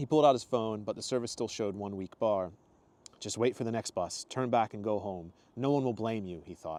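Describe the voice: The clip is plain reading aloud, and the pitch shifts in an ordinary way.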